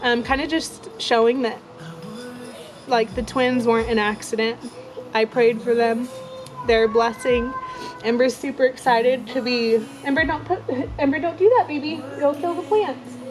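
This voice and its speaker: The voice moves at a moderate pace with long, frequent pauses, ordinary pitch variation and noticeable background noise. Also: woman, high pitch for a woman. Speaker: young mother vlogger. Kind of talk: personal testimony. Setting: outdoors. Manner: halting, with stutters and fillers.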